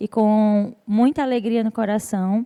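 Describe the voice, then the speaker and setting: The tone is dark and mellow, at a very slow pace. The sound is dry and close, with no echo. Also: woman. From Brazil, interior of Rio Grande do Norte (Açu, sertão). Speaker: church speaker at women's gathering. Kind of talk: sermon-style talk.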